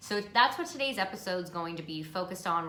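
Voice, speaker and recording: With an American accent, a woman speaks at a fairly low pitch over noticeable background noise. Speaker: podcast host. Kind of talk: self-care podcast monologue. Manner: casual, warm, chatty.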